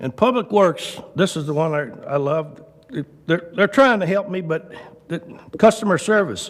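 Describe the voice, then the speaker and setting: A man with a high voice speaks at a moderate pace. His intonation is lively. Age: 70s. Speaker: resident speaking at public comment. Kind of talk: public comment at council meeting. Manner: casual, folksy.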